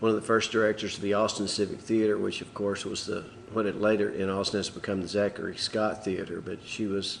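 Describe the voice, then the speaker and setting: Flat and monotone, a man speaks in a fairly low pitch with a Texas accent. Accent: Texas drawl. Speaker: musician. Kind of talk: interview answer.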